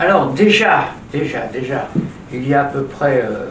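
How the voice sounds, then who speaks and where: A man speaks at a fairly high pitch. The clip has audible room echo and noticeable background noise. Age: 80s+. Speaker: social commentator, retired stage performer. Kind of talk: opinion monologue. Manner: hesitant, with many fillers and repetitions.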